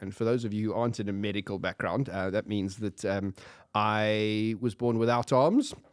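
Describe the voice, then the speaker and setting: At a moderate pace, the speech sounds dry and close with no echo, on a very clean recording with a silent background. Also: man. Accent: South African. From South Africa. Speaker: podcast guest. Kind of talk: casual chat.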